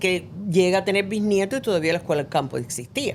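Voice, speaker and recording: Speaking with a Cuban accent, a woman talks at a fairly quick pace with lively intonation. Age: 70s. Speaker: actress. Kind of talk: casual chat.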